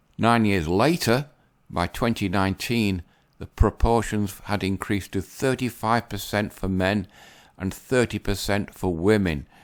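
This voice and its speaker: In an English accent, the speaker talks fairly slowly with ordinary pitch variation on a very clean recording with a silent background. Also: man. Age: 60s. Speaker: YouTuber commentator. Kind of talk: casual commentary reading articles. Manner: unscripted, some fluffs.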